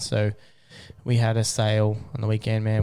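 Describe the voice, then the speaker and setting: At a moderate pace, a man speaks at medium pitch with an Australian accent. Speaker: podcast host. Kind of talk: casual chat. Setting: studio.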